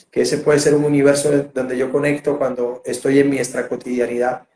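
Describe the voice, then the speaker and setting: Speaking at a fairly quick pace, a man with a Colombian Caribbean accent keeps a fairly high pitch and a monotone, flat intonation. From Colombia, Barranquilla (Caribbean coast). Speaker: theatre director and interviewer. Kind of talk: interview. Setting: video call. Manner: halting, many repetitions and fillers.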